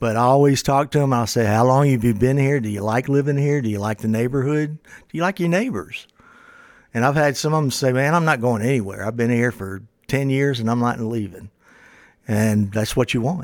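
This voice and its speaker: At a fairly quick pace, a man with an American accent uses a normal speaking voice at medium pitch with ordinary pitch variation, in a very clean recording with a silent background. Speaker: real estate podcast co-host. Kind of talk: casual chat. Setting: studio.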